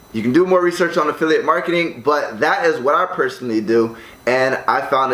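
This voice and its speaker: A man with an American accent talks at a fairly quick pace. Noticeable background noise runs behind him. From United States. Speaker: online entrepreneur. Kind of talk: tutorial. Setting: condo room. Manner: casual, filler-heavy.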